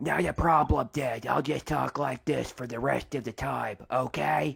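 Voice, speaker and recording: A raspy, put-on character voice at a low-to-middle pitch. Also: moderate pace. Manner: robotic.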